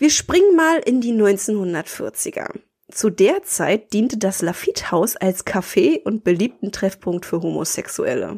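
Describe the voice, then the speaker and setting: A woman's fairly high voice at a very slow pace, with very wide pitch swings. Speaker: podcast host. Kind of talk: scripted narration; casual chat.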